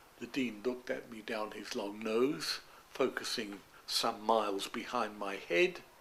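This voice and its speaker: Using a London accent, a man speaks fairly slowly at a medium pitch with ordinary pitch variation. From East End of London. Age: 90s; old. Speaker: retired doctor. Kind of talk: interview answer.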